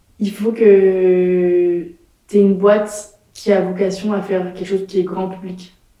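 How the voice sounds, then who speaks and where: Her medium-pitched voice monotone and flat, a woman speaks at a fairly slow pace with audible room echo. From France, Nantes. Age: 20s. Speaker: entrepreneur. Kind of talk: interview. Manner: casual, hesitant fillers.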